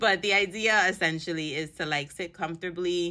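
This woman has a bright, sharp tone and a New York accent. She talks at a fairly slow pace on a very clean recording with a silent background. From New York City. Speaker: podcast host and empowerment mentor. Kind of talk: casual solo podcast talk. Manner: casual, sassy.

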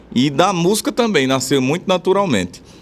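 With very wide pitch swings, a man talks at a fairly quick pace in a high voice. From Rio Grande do Norte interior, Brazil (Bom Jesus). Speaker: forró accordionist and vaquejada cowboy. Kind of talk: radio interview.

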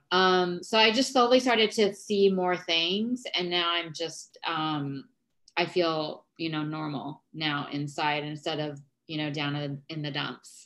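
A woman speaks at a fairly slow pace in an unremarkable speaking voice, her fairly low pitch carried by lively intonation. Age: 40s. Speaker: founder of a wellness movement. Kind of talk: casual chat.

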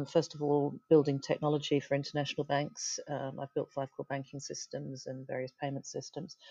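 With a British accent, a woman speaks at a moderate pace in a very deep, low pitch and a dark, mellow tone, the sound dry and close with no echo over a quiet background. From UK. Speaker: tech startup founder and CEO. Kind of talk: interview. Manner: halting, many fillers.

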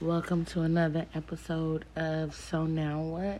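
A woman speaks at a very slow pace. Her voice is fairly low, with a dark, mellow tone. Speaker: podcaster. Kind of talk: late-night solo rant, casual confessional talk to listeners. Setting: alone at night, home recording. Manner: rambling, chatty and opinionated, with filler words and a bluntly candid tone; rant turns heated and emphatic, with repeated 'you know what I'm saying' and profanity.

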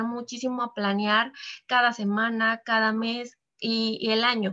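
Bright and sharp in tone, this woman's voice sits fairly high in pitch and moves at a fairly slow pace. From Mexico, Veracruz. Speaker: financial advisor. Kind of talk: podcast interview.

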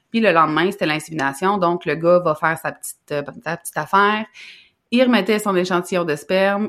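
A woman with a Quebec accent and fairly low pitch, fairly quick, with ordinary pitch variation, on a very clean recording with a silent background. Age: 30s. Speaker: business coach. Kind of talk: casual chat.

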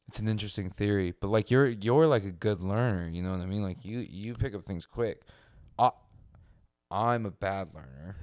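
Speaking at a moderate pace, a man has an unremarkable speaking voice with a fairly low pitch. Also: ordinary pitch variation. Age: 20s. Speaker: podcast co-host. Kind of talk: casual chat.

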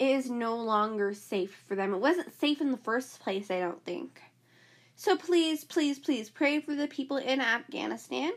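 On a very clean recording with a silent background, a woman with an American accent speaks fairly slowly at a high pitch with very wide pitch swings. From United States. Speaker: podcast host. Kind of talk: casual solo podcast monologue. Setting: home recording. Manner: animated.

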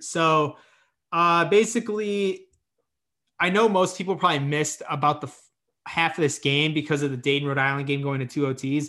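With an American accent and an unremarkable speaking voice, a man talks at a moderate pace in a fairly high pitch with ordinary pitch variation against a quiet background. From Indiana. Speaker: sports podcast host. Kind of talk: casual chat.

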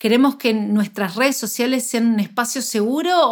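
In an Argentine accent, a woman speaks at a moderate pace with a fairly high pitch and ordinary pitch variation. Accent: Argentine Spanish (Rioplatense). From Argentina. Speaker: nutritionist podcast co-host. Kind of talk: casual chat. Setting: remote call across two countries.

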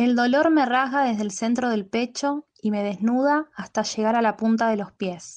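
In a plain, everyday voice, a woman talks at a moderate pace with hardly any pauses, a fairly high pitch and ordinary pitch variation, over a quiet background. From Buenos Aires, Argentina. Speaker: poet. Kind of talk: poetry reading; casual self-introduction.

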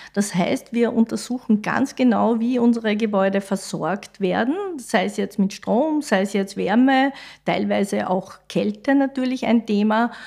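A plain, everyday voice speaks at a fairly slow pace. Its pitch variation is ordinary. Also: woman, fairly high pitch for a woman. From Austria, Styria (Mariazell). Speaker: civil engineer, head of school building division. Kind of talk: podcast interview.

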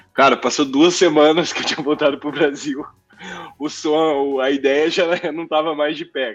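With music in the background, a man with a fairly high pitch speaks at a moderate pace in a monotone, flat intonation, his loudness swinging widely. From Brazil, Mococa (São Paulo state). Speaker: physician and tech business lead. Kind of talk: casual interview chat.

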